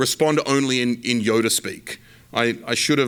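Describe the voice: What is heard is plain reading aloud.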